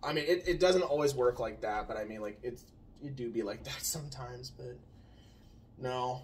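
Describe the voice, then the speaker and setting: Somewhat breathy, the voice keeps a moderate pace. Its pitch varies in an ordinary way. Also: man. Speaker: channel co-host. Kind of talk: casual chat. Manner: quiet, soft-spoken.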